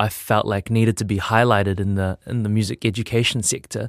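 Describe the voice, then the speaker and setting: Speaking with a New Zealand accent, a man talks fairly quickly in a fairly low, flat monotone. The sound is dry and close with no echo, on a very clean recording with a silent background. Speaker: music producer and teacher. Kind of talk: interview. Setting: studio.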